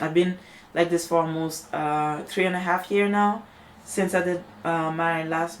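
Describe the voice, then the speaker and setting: The speaker talks at a moderate pace with a French accent. The intonation is monotone and flat. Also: woman. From Montreal, Quebec. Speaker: natural hair vlogger. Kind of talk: video rant. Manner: halting, many fillers.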